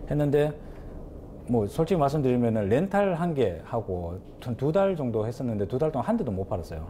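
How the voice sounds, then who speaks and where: A man talks at a fairly quick pace in a dark, mellow, somewhat breathy tone. His pitch swings very widely. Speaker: pizza shop owner. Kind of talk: interview.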